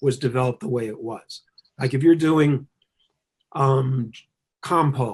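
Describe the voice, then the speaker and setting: Somewhat breathy, a man's voice moves along at a fairly slow pace. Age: 60s. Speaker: Chinese medicine teacher and author. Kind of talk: interview. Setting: video webcast.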